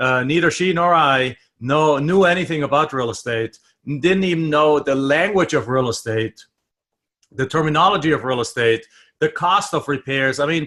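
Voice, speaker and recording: In a German accent, a man speaks at a fairly high pitch with a bright, sharp tone and ordinary pitch variation. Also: moderate pace. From Germany. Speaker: real estate investor and trainer. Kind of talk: interview.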